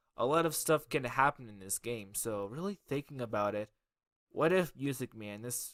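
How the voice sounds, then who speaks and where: Here a man speaks at a medium pitch with lively intonation and a bright, sharp tone. The recording is very clean, dry and close, with a silent background and no echo. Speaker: YouTuber covering gaming lore. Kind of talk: iceberg explainer video.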